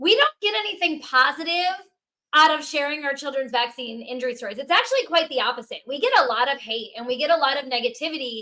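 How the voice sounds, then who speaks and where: A woman speaks in a raised, projected voice with a bright, sharp tone. Her intonation is lively and her pace fairly quick. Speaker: podcast co-host. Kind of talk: podcast interview. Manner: loud.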